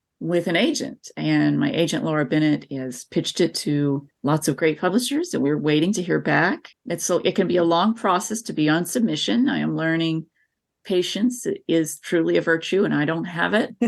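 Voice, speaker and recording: A woman with an American accent speaks at a moderate pace, her fairly low voice showing vocal fry. Her intonation is lively, and the background is quiet. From US South, northeast Tennessee (southern Appalachia). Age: 40s. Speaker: author. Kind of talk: interview. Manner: animated.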